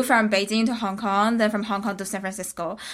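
On a very clean recording with a silent background, a woman with a Chinese accent speaks at a fairly high pitch in a monotone, flat intonation. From China. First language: Mandarin Chinese. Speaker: graduate student. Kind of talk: casual interview.

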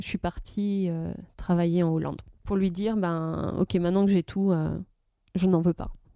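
In a very clean recording with a silent background, a woman speaks at a fairly slow pace and medium pitch. Her tone is dark and mellow, and the sound is dry and close with no echo. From Brittany, France. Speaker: blogger and photographer. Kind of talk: casual interview. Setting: at her home. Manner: halting.

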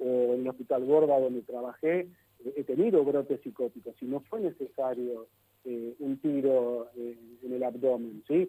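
In a Rioplatense accent, a man talks at a fairly slow pace, pitched fairly high for a man. His tone is dark and mellow, and the sound is dry and close with no echo. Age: 50s. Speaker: psychologist. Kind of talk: interview. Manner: halting.

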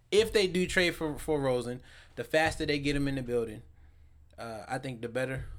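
This man has an unremarkable speaking voice, fairly high in pitch. He talks at a fairly quick pace with ordinary pitch variation. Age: 20s. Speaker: sports podcast host. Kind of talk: casual chat.

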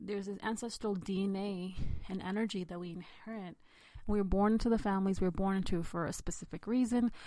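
A woman's medium-pitched voice, dark and mellow in tone, with fairly even intonation and a fairly quick pace. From India, raised in the United States from age six. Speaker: podcast host. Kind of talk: personal storytelling monologue.

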